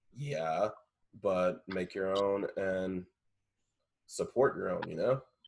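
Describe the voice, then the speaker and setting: A very slow delivery with long, frequent pauses, in an American accent. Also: man. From Indiana, US Midwest. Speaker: podcast co-host, dancer and actor. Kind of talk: casual chat.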